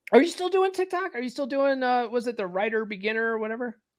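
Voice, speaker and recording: A man speaks at a fairly quick pace with an extremely high pitch. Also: big swings in loudness. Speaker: podcast host. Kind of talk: casual chat. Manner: stammering.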